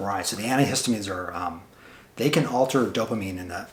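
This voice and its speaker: Fairly low pitch from a man at a fairly quick pace, ordinary pitch variation, and noticeable background noise. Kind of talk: interviewer questions.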